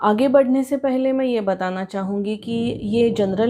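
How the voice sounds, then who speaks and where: A woman with a Marathi accent, fairly high in pitch, with a dark, mellow tone. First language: Marathi (speaking Hindi). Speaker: tarot reader. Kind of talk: tarot reading for viewers.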